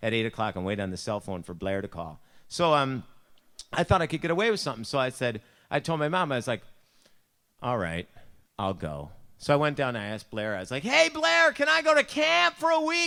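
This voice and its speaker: A Buffalo accent at a fairly quick pace, with long, frequent pauses, on a very clean recording with a silent background. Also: man. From US, Buffalo, New York. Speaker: youth speaker or pastor. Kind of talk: devotional talk with personal story. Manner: casual, animated storytelling.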